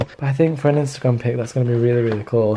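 Very fast pace from a man, fairly even intonation, light background noise. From England. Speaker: vlogger. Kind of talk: casual vlog talk to camera. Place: home room. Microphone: phone near.

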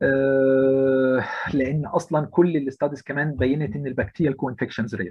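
Hardly pausing, a man speaks at a moderate pace in an unremarkable speaking voice of medium pitch with ordinary pitch variation. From Egypt, Alexandria. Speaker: intensive care physician. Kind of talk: lecture.

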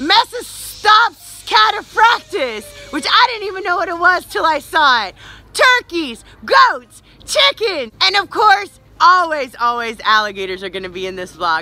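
Over faint background music, a woman speaks in a raised, projected voice with a dry sound and no echo. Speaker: park presenter vlogger. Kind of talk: casual vlog chat. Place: street. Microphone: phone near.

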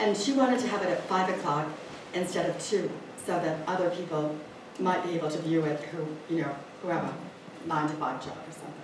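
A woman's voice with long, frequent pauses, audible room echo and noticeable background noise. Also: ordinary pitch variation. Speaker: library event organizer. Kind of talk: event introduction. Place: hall. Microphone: camera far.

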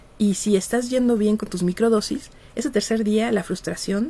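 Fairly high in pitch yet dark and mellow in tone, a woman's somewhat breathy voice moves at a fairly slow pace. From Mexico. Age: 50s. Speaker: psychologist and researcher; radio guest. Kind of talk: interview. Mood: relaxed, laughing at times. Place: studio. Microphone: studio mic.

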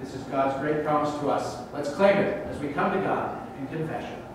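Strong room echo and noticeable background noise around a voice with ordinary pitch variation and a moderate pace. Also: man. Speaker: minister leading worship. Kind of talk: liturgical prayer. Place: church.

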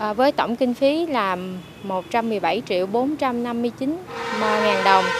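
A woman is speaking, and background noise is noticeable throughout. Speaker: local trade union official. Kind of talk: interview. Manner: halting.

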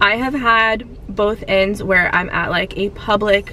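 The delivery is fairly slow with fairly even intonation, in a dry sound with no echo and light background noise. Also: woman. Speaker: fitness vlogger. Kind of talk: casual vlog chat. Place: car. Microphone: phone near.

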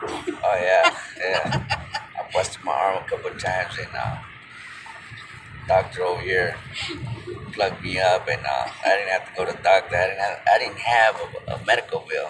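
A man talks at a moderate pace, pausing often and at length, with music behind him. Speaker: passenger vlogger. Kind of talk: casual vlog chat. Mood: concerned, then relaxed. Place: car. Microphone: phone near.

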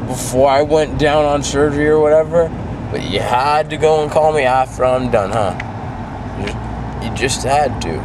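A man speaks with long, frequent pauses. Noticeable background noise is present. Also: moderate pace. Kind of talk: casual vlog chat. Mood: groggy, playful.

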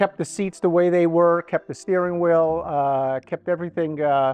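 The sound is dry with no echo. A man speaks in a high pitch with fairly even intonation. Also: moderate pace. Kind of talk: casual tour commentary.

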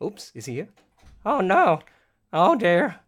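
With an Australian accent, a man talks in a high voice. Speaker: project director hosting live stream. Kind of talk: casual chat. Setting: live stream. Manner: animated.

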